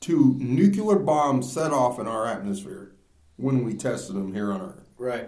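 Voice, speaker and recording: Loud speech with very wide pitch swings rings out amid audible room echo. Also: man. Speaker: podcast host. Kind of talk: casual chat.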